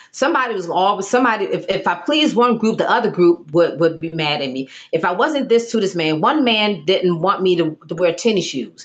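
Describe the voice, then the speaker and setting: Over noticeable background noise, a woman at medium pitch speaks fairly quickly with very wide pitch swings. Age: 50s. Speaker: summit speaker sharing personal story. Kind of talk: testimony. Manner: halting, with repetitions.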